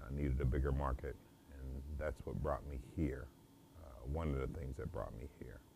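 With an American accent, a man with a very deep, low pitch and a dark, mellow tone speaks at a moderate pace in a flat monotone with vocal fry and long, frequent pauses, over noticeable background noise. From US Midwest, St. Louis, Missouri. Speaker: home chef. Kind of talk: interview monologue, self-promotion. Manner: halting, many fillers.

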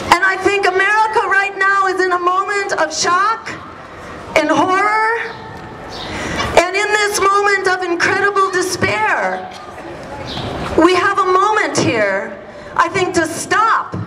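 Projecting a raised voice, a woman speaks at a fairly slow pace with fairly even intonation and long, frequent pauses, noticeable background noise behind her. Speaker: speaker. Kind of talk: rally speech. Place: street. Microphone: camera far.

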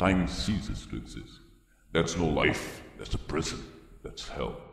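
In a cartoonish character voice, a man delivers a calm, solemn tone at a moderate pace with clear echo. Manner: calm, solemn, persuasive.

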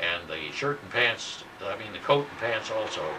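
Over noticeable background noise, a man talks at a moderate pace with ordinary pitch variation. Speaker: WWII veteran. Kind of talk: show-and-tell monologue to camera. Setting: self-recorded video tape. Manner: casual, rambling. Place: home room. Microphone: old recording.

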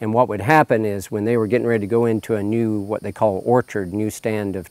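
A man talks at a fairly quick pace in a fairly low pitch with fairly even intonation, in a dry sound with no echo. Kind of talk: interview answer. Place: farm machine. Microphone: lapel.

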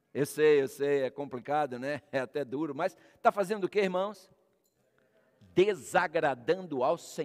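Over a quiet background, a man speaks at a fairly slow pace with lively intonation. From Brazil. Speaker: pastor; pastor preaching. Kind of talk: sermon. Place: church.

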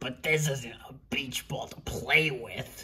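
A woman's put-on character voice, extremely low in pitch yet bright and sharp in tone, slow in pace, with ordinary pitch variation.

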